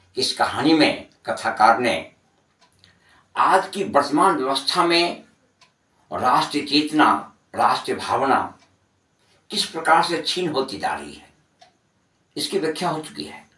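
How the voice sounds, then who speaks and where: A man speaks with ordinary pitch variation. His pauses are long and frequent. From Bihar, India. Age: 60s. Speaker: Hindi teacher. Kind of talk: lecture explaining a literary text to students.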